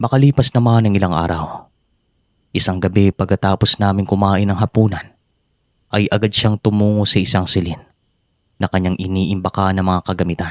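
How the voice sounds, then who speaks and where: Fairly low in pitch and fairly quick, a man speaks at very even loudness in a dry, close sound with no echo, on a very clean recording with a silent background. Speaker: horror story narrator. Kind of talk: reading aloud. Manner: relaxed.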